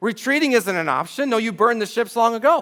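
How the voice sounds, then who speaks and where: A man speaks at a moderate pace. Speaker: pastor. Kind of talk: sermon. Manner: animated.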